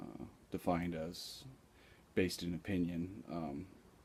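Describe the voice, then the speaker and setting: A man's very deep, low voice with vocal fry and ordinary pitch variation. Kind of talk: casual vlog talk to camera. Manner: slow, with long pauses; hesitant, many filler words.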